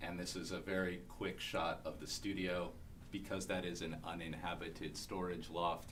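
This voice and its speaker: Audible room echo surrounds a man's very deep, low voice, which keeps a fairly even intonation. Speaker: small-scale housing developer. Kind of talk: conference panel presentation. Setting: conference room with audience. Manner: fast.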